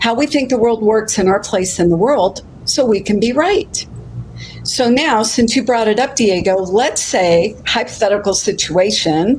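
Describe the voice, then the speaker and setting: A woman speaks with very even loudness. Noticeable background noise can be heard. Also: fairly high pitch for a woman, ordinary pitch variation, moderate pace. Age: 60s. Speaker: life coach. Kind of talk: casual chat. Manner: animated.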